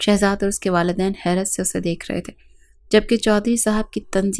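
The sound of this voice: With fairly even intonation, an unforced reading voice carries the passage.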